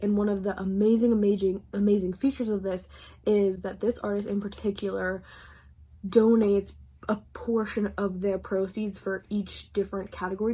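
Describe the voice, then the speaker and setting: Somewhat breathy and dark, mellow in tone, a woman at medium pitch speaks at a fairly quick pace with monotone, flat intonation. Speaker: book vlogger. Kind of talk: casual vlog talk to camera. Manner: fast.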